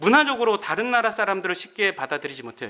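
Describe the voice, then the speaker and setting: A man's high, bright, sharp voice, raised and projected. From Korea, Gangwon Province. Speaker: pastor and Bible lecturer. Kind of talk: lecture.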